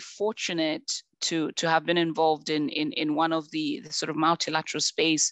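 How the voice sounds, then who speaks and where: In a Zambian accent, a woman with a fairly low pitch speaks at a moderate pace. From Zambia (rural). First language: Bemba. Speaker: conservation expert, panelist. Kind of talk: panel discussion. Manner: repetitive, many false starts.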